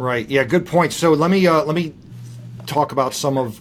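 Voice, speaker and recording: The delivery moves at a fairly quick pace with ordinary pitch variation. It is an unremarkable speaking voice. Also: man. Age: 40s. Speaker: podcast host and pastor. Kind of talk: casual chat.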